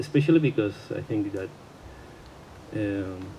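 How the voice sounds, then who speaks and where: A man speaks at a fairly low pitch with lively intonation over noticeable background noise. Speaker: friend or partner of the deceased. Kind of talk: eulogy speech. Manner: halting, hesitant.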